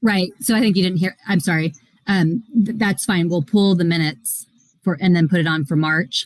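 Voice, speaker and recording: A woman speaks at a moderate pace in a fairly low, somewhat breathy voice. Her loudness stays very even, with ordinary pitch variation. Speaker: school board president chairing meeting. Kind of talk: board meeting. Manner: mumbling.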